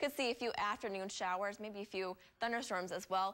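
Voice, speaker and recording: Here is a woman with an ordinary speaking voice at medium pitch. Her pitch variation is ordinary. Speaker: TV meteorologist. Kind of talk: TV weather forecast.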